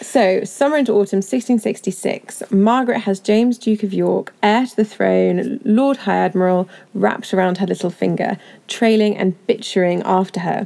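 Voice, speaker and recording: Dark, mellow speech at a moderate pace with ordinary pitch variation. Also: woman, medium pitch for a woman. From Bristol, England. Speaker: history podcast co-host. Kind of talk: history podcast conversation.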